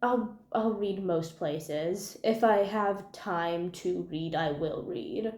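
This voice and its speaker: In a room with audible echo, a woman with a medium-pitched voice talks at a very slow pace with hardly any pauses. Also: ordinary pitch variation. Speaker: booktuber. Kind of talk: casual vlog monologue. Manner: animated.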